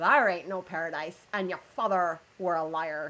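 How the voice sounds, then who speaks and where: Someone in a put-on character voice speaks at a moderate pace and a middle pitch. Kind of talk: pirate speech.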